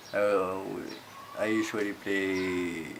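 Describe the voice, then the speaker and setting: Amid noticeable background noise and audible room echo, a man with a fairly low pitch speaks with fairly even intonation. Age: 20s. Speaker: gamer interviewee. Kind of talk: interview answers.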